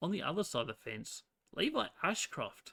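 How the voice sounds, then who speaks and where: Using a hoarse, put-on character voice, a man speaks at a moderate pace and high pitch in a dry, close recording with no echo. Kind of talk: sports commentary.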